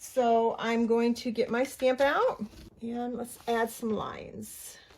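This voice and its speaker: Very slowly and in a monotone, flat way, a woman with a fairly high voice speaks while noticeable background noise carries on. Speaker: mixed media art journaling creator. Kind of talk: craft tutorial. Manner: casual, chatty; mumbling.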